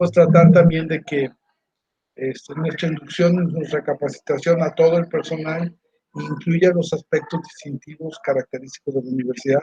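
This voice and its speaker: The speaker has a plain, everyday voice, moving at a moderate pace with fairly even intonation. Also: man, fairly high pitch for a man. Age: 60s. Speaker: university staff member. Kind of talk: interview.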